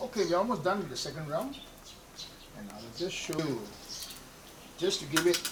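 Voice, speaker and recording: A man's fairly high voice at a fairly quick pace, with very wide pitch swings, big swings in loudness and long, frequent pauses, plus audible room echo and noticeable background noise. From Malaysia, Malacca (Kristang Portuguese-Eurasian community). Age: 60s. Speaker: home cook, pickle maker, former fisherman. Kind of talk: cooking demonstration. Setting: wooden house in Malacca.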